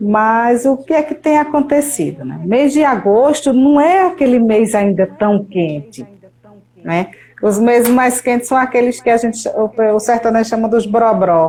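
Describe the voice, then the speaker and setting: Her voice is an unremarkable speaking voice, fairly high for a woman. She speaks at a fairly slow pace with lively intonation. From Brazil, Paraíba sertão (Patos). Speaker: meteorologist. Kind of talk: interview.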